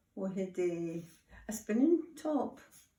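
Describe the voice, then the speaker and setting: A woman's dark, mellow, medium-pitched voice with audible room echo. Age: 80s+. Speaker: grandmother interviewed by school children. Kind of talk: interview.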